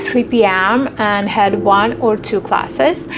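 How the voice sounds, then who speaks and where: A woman with a Russian accent over music in the background. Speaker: vlogger. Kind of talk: casual vlog monologue.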